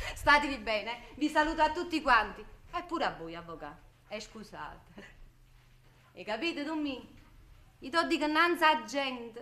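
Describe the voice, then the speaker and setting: In a raised, projected voice with a bright, sharp tone and a Neapolitan accent, the speaker moves at a moderate pace with very wide pitch swings, big swings in loudness and long, frequent pauses. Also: woman, high pitch for a woman. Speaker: stage actress. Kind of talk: stage play performance, Neapolitan drama.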